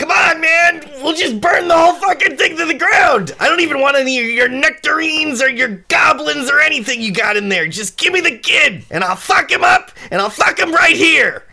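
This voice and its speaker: This is a put-on character voice. The pace is moderate. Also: man, extremely high pitch for a man. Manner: furious, shouting, profane.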